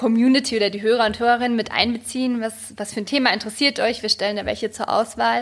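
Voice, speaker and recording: Her pace is very fast, her intonation monotone and flat. The woman's pitch sits fairly high. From Germany. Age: young. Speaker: journalist and photographer. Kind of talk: casual interview chat.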